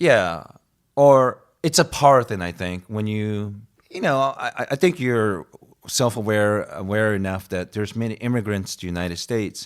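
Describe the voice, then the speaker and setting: Lively intonation marks this man's fairly low voice, which carries a slight Asian accent. He keeps a moderate pace. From Japan. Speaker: guest on comedy talk show. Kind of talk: casual chat. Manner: halting.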